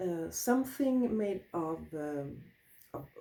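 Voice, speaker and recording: A woman's dark, mellow tone with lively intonation. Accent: Swedish. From Sweden. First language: Swedish. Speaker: wool crafter, craft teacher. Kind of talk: tutorial. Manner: halting.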